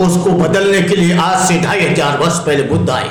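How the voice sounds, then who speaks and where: Amid noticeable background noise and audible room echo, a man raises and projects his voice in an animated tone. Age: 70s. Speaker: Buddhist monk. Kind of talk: speech to lawyers.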